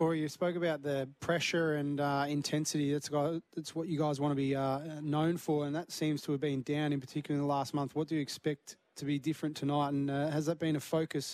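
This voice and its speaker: Using monotone, flat intonation, a man with an Australian accent talks at a fairly quick pace with hardly any pauses. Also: fairly high pitch for a man. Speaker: football pundit. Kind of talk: casual chat.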